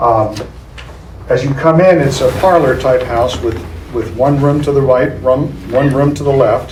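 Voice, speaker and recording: Long, frequent pauses break up a man's fairly high-pitched speech, heard with audible room echo and noticeable background noise. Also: ordinary pitch variation, fairly slow pace. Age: 70s. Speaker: local property developer. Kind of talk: public meeting presentation. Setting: public meeting room. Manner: hesitant, many fillers.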